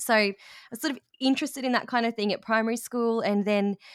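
A woman speaks in an Australian accent with ordinary pitch variation, on a very clean recording with a silent background. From rural Australia. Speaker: language teacher and education business owner. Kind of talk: interview.

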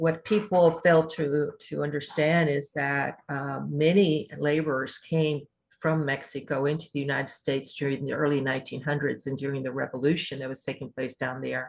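A woman with an American accent speaks in a very deep, low voice, keeping a fairly even intonation and hardly any pauses. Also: moderate pace. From Houston, Texas (Fifth Ward). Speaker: former city council member and community leader. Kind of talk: interview.

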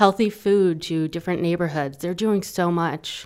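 A woman's unremarkable speaking voice with an American accent, fairly low in pitch, with fairly even intonation and a fairly quick pace, on a very clean recording with a silent background. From New York. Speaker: guest co-host, creative director. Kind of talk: interview.

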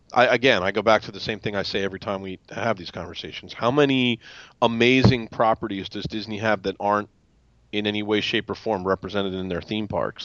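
A man with a plain, everyday voice, fairly low-pitched, at a fairly quick pace. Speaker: podcast panelist. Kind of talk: casual chat.

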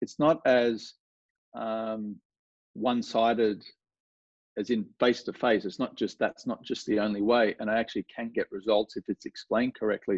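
Speaking with a strong Australian accent, a man keeps a moderate pace, a medium pitch and ordinary pitch variation. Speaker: golf coach. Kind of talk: casual interview chat. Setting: video call from home studio.

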